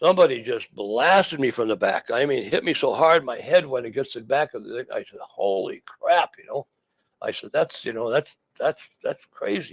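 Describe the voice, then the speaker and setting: A man speaks at a moderate pace with an American accent. The sound is dry and close, with no echo. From Wisconsin. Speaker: retired stock car racer. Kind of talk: interview storytelling. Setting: studio. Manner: halting, many repetitions and fillers.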